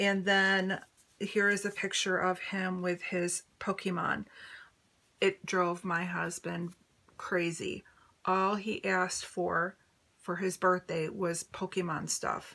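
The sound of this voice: Speaking slowly with little pitch movement, a woman has a fairly low pitch and a bright, sharp tone.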